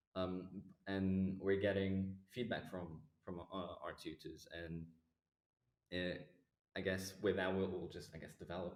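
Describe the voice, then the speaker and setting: In a non-native accent, a man with a very deep, low pitch talks at a fairly slow pace in a monotone, flat intonation, with long, frequent pauses and audible room echo. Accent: non-native accent he feels insecure about. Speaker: performing arts student. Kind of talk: casual chat. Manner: halting.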